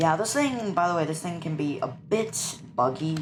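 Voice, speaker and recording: There is audible room echo as a woman speaks at a moderate pace with ordinary pitch variation. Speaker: gaming YouTuber. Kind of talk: gameplay commentary. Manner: casual, halting.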